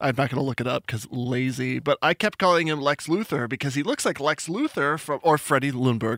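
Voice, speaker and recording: This man talks fairly quickly in a plain, everyday voice, his pitch fairly high. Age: 30s. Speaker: soccer podcast host. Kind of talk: casual chat.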